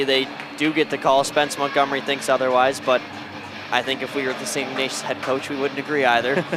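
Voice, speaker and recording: This man speaks with a fairly high pitch. There is noticeable background noise. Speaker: hockey color commentator. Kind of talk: live commentary. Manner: loud.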